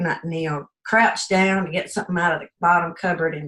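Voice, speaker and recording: Her pitch fairly low, a woman speaks at a moderate pace. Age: 60s. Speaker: client giving a testimonial. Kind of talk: testimony. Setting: video call. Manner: hesitant, with fillers.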